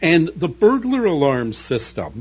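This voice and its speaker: Animated and somewhat breathy, a man with a Canadian accent talks with very wide pitch swings. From Canada, Toronto area. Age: 60s. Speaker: science fiction novelist. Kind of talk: radio interview. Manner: articulate, animated storytelling.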